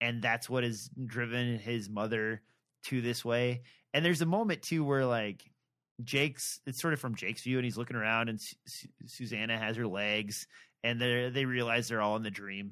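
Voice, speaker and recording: Recorded very cleanly against a silent background, a man with an unremarkable speaking voice talks at a moderate pace, his medium pitch following fairly even intonation. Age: 40s. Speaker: podcast co-host. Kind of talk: casual chat about books.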